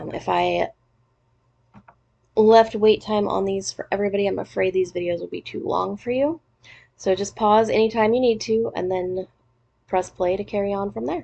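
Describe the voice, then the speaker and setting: Pausing long and often, a woman speaks at a medium pitch in a dark, mellow tone. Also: ordinary pitch variation, moderate pace. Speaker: teacher. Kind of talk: recorded lesson. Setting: recorded lesson video. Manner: casual.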